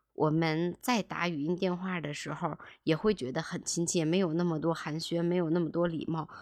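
This woman has an unremarkable speaking voice, fairly low in pitch with fairly even intonation, on a very clean recording with a silent background. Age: 30s. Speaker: podcast host, former real estate agent. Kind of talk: personal monologue podcast. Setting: home.

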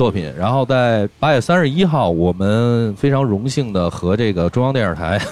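A man talks at a fairly slow pace with lively intonation. He has a plain, everyday voice. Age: 30s. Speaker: rock band guitarist. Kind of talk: casual chat.

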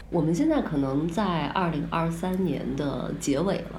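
A woman speaks with a very deep, low pitch and lively intonation. Noticeable background noise is present. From northern China. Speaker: podcast co-host and counselor. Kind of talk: casual chat.

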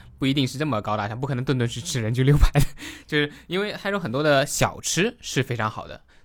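A man speaks at a very fast pace as music plays in the background. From Taizhou, Zhejiang, China. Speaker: guest sharing local food and culture. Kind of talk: casual podcast conversation.

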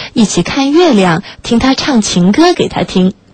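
Noticeable background noise sits behind a woman whose voice is fairly high in pitch. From Shanghai, China. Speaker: late-night radio host. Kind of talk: reading aloud a listener's story; radio presenting, addressing listeners.

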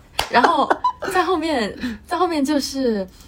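Noticeable background noise sits behind the speech. A woman's voice moves through very wide pitch swings. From Beijing, China. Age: 20s. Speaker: university student. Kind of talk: casual interview chat.

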